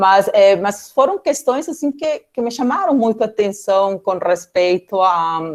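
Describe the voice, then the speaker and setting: A woman speaks in a Peruvian accent. Her pitch swings very widely. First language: Spanish (speaking Portuguese). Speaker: political scientist, guest lecturer. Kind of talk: academic talk. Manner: halting, many fillers.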